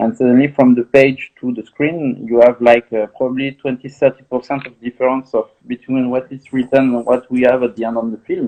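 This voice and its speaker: The man's pitch is medium. He delivers his words fairly quickly. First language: French. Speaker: film director. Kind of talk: interview. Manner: halting.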